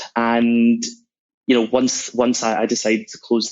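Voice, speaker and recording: Speaking at a moderate pace, a man with a Scottish accent holds a medium pitch. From Scotland, Glasgow. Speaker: sales executive. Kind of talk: podcast interview.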